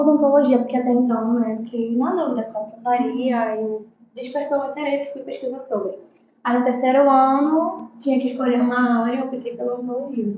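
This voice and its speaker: A high-pitched woman speaks fairly quickly with fairly even intonation and big swings in loudness. Audible room echo surrounds her voice. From Brazilian Amazon (Benjamin Constant, Manaus). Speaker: pediatric dentist. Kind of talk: podcast interview.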